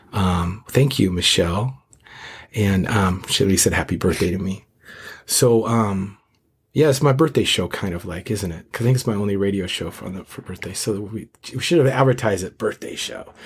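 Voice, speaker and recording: In a very clean recording with a silent background, a man with a fairly low, somewhat breathy voice talks at a moderate pace, with ordinary pitch variation and big swings in loudness. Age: 50s. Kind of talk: casual interview.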